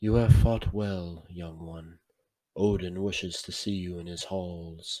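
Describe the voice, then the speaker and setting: A man uses a put-on character voice with a very deep, low pitch, speaking fairly slowly with fairly even intonation and big swings in loudness. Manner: gentle, reassuring.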